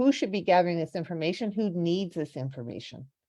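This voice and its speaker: A woman speaks in a fairly low pitch with a dark, mellow tone and ordinary pitch variation. The background is quiet. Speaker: researcher presenting to council. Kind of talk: presentation.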